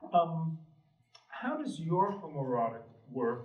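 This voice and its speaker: A man in a New York accent talks with a fairly high pitch, and audible room echo surrounds his voice. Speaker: panel moderator. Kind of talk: panel discussion. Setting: gallery with audience.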